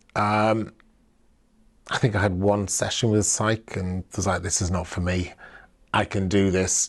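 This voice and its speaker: A man with a South Wales accent speaks slowly in a fairly low, monotone, flat voice, leaving long, frequent pauses. The background is quiet. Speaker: LGBT+ activist. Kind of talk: personal testimony. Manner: reflective, with hesitations.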